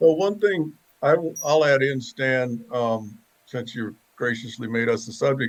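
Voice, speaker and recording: A man with a Southern US accent talks at a fairly slow pace with lively intonation. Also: medium pitch for a man. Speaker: real estate agent. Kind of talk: casual chat.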